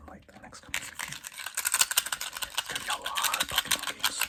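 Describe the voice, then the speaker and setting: A fairly quick whisper comes through with noticeable background noise behind it. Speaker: ASMR creator. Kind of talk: ASMR rambling about game collection. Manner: soft-spoken.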